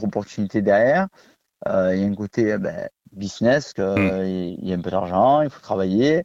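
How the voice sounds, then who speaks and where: A man's dark, mellow tone with lively intonation, in a dry, close sound with no echo against a quiet background. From southern France, Vaucluse (Pernes-les-Fontaines). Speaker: kickboxing champion and coach. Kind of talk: radio interview.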